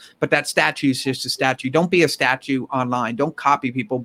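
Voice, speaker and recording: With a New York accent and a bright, sharp tone, a man speaks at a fairly quick pace and fairly high pitch in a dry, close sound with no echo. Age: 40s. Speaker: entrepreneur and author. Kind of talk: casual interview.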